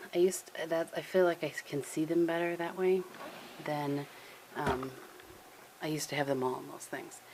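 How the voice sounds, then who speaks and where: At a moderate pace, the soft-spoken speaker keeps a fairly even intonation, with big swings in loudness, long, frequent pauses and noticeable background noise. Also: woman. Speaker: lifestyle vlogger. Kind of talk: casual vlog.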